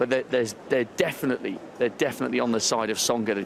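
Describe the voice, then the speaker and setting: Against noticeable background noise, a man speaks fairly quickly at a medium pitch in a flat monotone. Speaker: courtside tennis reporter. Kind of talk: live commentary. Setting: courtside in a stadium crowd. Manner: speaking quietly.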